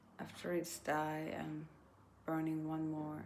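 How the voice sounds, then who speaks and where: In a very slow delivery, a woman speaks with a non-native accent. Her voice carries audible room echo. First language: not English. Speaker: vlogger. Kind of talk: casual monologue. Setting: indoors by candlelight. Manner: halting.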